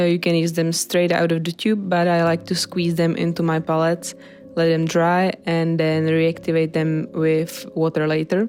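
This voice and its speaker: With music in the background, someone with a non-native accent speaks at a fairly slow pace. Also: woman. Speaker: painter. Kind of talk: tutorial narration. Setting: home recording without professional microphone.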